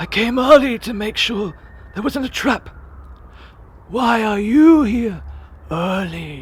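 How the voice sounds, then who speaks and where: A put-on character voice at a fairly high pitch and fairly slow pace, with long, frequent pauses and light background noise. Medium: audio drama. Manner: grumbling, stingy.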